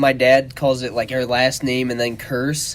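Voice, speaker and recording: This man's voice sits at a medium pitch and moves at a fairly slow pace. Noticeable background noise runs behind him. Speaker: podcast co-host. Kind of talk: casual chat. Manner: halting, repeats words.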